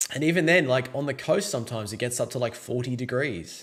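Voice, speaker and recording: Someone with an Australian accent speaks at a moderate pace, with lively intonation. The recording is very clean, with a silent background. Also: man. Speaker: podcast host. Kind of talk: casual chat.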